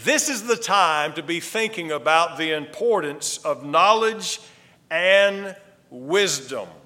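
Raising and projecting his voice, a man speaks very slowly at a high pitch. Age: 50s. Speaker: pastor. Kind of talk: sermon. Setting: church.

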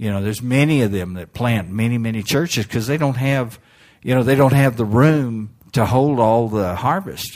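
A man with an unremarkable speaking voice, medium pitch, ordinary pitch variation and a moderate pace on a very clean recording with a silent background. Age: 60s. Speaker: missionary evangelist. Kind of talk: sermon. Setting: church.

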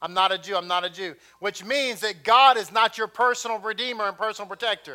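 An animated voice with an American accent comes out raised and projected. The pace is very fast. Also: man, high pitch for a man. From Texas. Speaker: messianic congregation teacher. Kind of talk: sermon. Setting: congregation.

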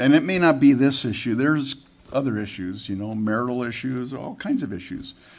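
Audible room echo carries a man speaking at a moderate pace with ordinary pitch variation. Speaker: pastor. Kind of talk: sermon. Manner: halting, repeats words.

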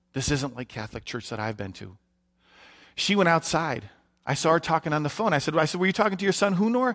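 A man with fairly high pitch and very wide pitch swings talks at a very fast pace in an American accent. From US Midwest, Detroit, Michigan. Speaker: missionary. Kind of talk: sermon. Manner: hesitant, frequent fillers.

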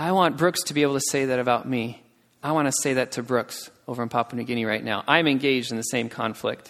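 Ordinary pitch variation marks a man's medium-pitched voice as he talks at a very fast pace. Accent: American. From United States. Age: 20s. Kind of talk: sermon. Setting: church.

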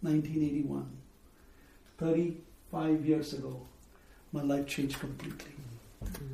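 A man with a fairly high pitch speaks with fairly even intonation. Audible room echo and noticeable background noise surround him. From India, Bombay. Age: 50s. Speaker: missionary preacher. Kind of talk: testimony.

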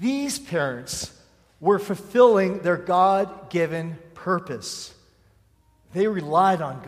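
With audible room echo, a man speaks very slowly at a high pitch, his intonation lively and his loudness swinging widely. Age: 40s. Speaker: pastor. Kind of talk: sermon.

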